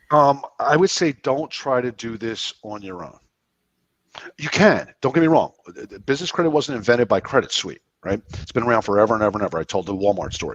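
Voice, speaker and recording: A man with a medium-pitched voice and an American accent talks at a fairly quick pace. The sound is dry and close with no echo, and his loudness swings widely. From US Northeast, Philadelphia area. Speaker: business credit expert, guest. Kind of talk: interview. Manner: fast.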